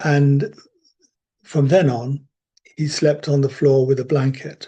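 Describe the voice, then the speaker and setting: At a very slow pace, a man with a British accent speaks in a somewhat breathy, dark, mellow tone at a fairly high pitch. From Britain. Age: 70s. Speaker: religious community member sharing faith stories. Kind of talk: storytelling. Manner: unhurried with hesitations.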